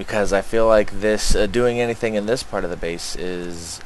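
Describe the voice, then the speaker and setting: A man's voice with noticeable background noise. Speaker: gaming video creator. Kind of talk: let's play commentary. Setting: home recording. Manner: casual, occasionally laughing.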